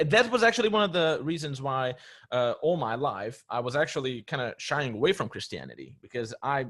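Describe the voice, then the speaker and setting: With a non-native accent, a man speaks at a moderate pace with fairly high pitch and very wide pitch swings. The recording is very clean, with a silent background. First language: not English. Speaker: discussion participant. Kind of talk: casual group discussion. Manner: hesitant, with fillers.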